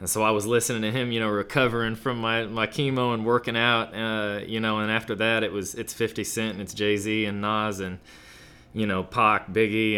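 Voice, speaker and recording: He is a man with an American accent and a fairly low pitch. His is an unremarkable speaking voice. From Kansas, US Midwest. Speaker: rapper. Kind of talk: interview. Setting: studio.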